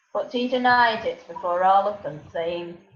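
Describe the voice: A woman's medium-pitched voice at a moderate pace, with audible room echo. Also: ordinary pitch variation.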